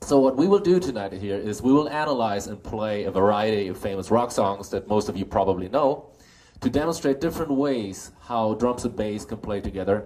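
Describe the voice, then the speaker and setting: A man with a German accent, a fairly low pitch, lively intonation and a fairly quick pace. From Germany. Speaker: bass player and clinic instructor. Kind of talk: live clinic talk. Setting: music store clinic with audience.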